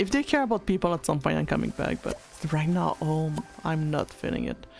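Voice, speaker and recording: A fairly quick French accent over music in the background. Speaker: VTuber streamer. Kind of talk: casual livestream chat. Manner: halting, many fillers.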